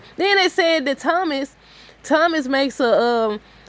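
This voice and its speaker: Loud and high-pitched, a woman speaks with very wide swings in pitch. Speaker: soap opera commentator. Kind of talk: casual commentary.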